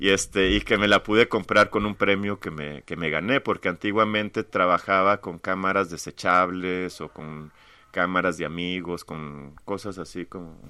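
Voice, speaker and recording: A man's very deep, low pitch, fairly even intonation, moderate pace, hardly any pauses and big swings in loudness. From Mexico-US border, Tamaulipas/Monterrey. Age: 40s. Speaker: visual artist. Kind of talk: casual interview.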